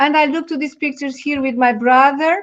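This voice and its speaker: A woman with a Portuguese accent and fairly even intonation. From Portugal. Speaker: talk show co-host. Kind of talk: casual chat. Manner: halting.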